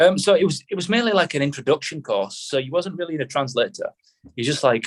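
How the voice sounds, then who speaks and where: A man with a northern English accent speaks very fast in a fairly high voice, with lively intonation and vocal fry. The sound is dry and close, with no echo. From northern England. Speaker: army veteran. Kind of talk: casual chat.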